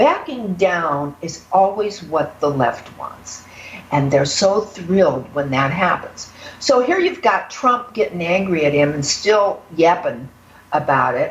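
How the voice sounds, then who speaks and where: Over noticeable background noise, the voice moves at a fairly slow pace with very wide pitch swings. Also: woman. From northern US. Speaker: political news commentator. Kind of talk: political commentary chat.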